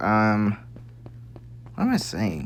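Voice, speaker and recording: Soft-spoken and mumbling, the speaker goes at a fairly slow pace over noticeable background noise. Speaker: gaming video creator. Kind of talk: casual game tour commentary.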